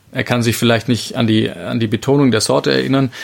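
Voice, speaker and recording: Very fast speech with ordinary pitch variation against noticeable background noise. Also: man. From Bavarian Lake Constance shore, Germany. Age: 30s. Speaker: winemaker. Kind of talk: interview.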